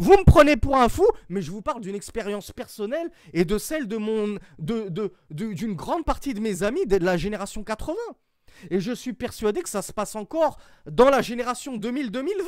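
A man's high voice at a moderate pace, lively in intonation with big swings in loudness, on a very clean recording with a silent background. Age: 40s. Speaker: Islamic religious teacher. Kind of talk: lecture.

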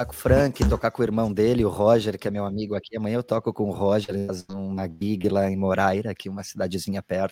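Speaking at a very fast pace, a man has a fairly low pitch, a dark, mellow tone, and fairly even intonation, all in a dry, close sound with no echo. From southern Brazil, Porto Alegre. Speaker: guitarist. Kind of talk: casual interview.

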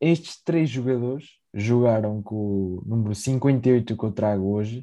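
Over a quiet background, a man with a dark, mellow tone speaks at medium pitch with fairly even intonation. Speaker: football podcast co-host. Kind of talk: casual chat.

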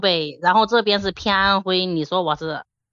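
A woman with a slight Henan accent speaks in a bright, sharp tone with lively intonation. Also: quiet background. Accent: little Henan. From Xinyang, Henan, China. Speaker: call-in guest. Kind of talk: casual chat.

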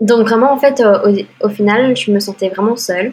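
A woman's somewhat breathy voice. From Belgium. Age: 20s. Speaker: green card lottery winner. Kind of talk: interview.

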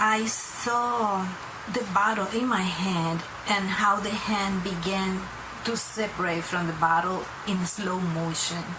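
Over noticeable background noise, a woman speaks at a very slow pace in a medium-pitched voice with fairly even intonation. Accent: non-native. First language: not English. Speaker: viewer sharing a dream. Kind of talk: testimony. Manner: halting, reading from notes.

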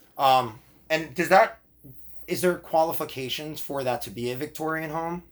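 A man with an ordinary speaking voice talks at a moderate pace and a fairly high pitch, with ordinary pitch variation and big swings in loudness, on a very clean recording with a silent background. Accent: American. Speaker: podcast host. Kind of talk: casual chat.

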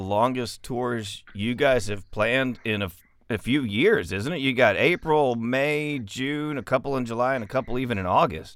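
A man with an American accent has a plain, everyday voice at medium pitch. He keeps a moderate pace with hardly any pauses on a very clean recording with a silent background. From West Texas. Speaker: podcast host. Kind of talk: casual interview.

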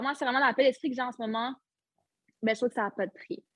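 Recorded in a dry, close sound with no echo and a quiet background, a woman speaks with ordinary pitch variation. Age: 20s. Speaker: retired footballer. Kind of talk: interview.

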